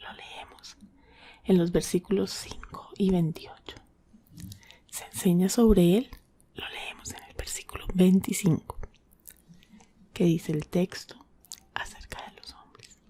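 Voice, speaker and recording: A soft-spoken woman whispers at a fairly slow pace, leaving long, frequent pauses. Her loudness swings widely. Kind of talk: ASMR Bible devotional. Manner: soft-spoken, whispered.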